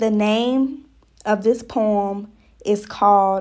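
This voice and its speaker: Very slowly, a woman speaks in a fairly high pitch with fairly even intonation. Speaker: poet. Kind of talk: poetry reading, spoken-word poem. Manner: rhythmic, repetitive; defiant, indignant.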